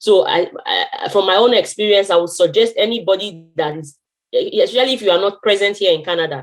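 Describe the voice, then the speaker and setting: The speaker has a Nigerian accent. The pace is fairly quick. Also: woman, medium pitch for a woman, ordinary pitch variation. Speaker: internationally trained physiotherapist. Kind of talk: testimony with advice in online meeting. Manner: halting, many fillers and restarts.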